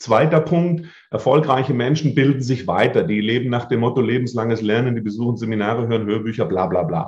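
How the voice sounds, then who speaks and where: Somewhat breathy, a man speaks at a fairly quick pace with a medium pitch and ordinary pitch variation. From southern Germany, Lake Constance area. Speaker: memory and mental coach, speaker. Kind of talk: interview. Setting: video podcast.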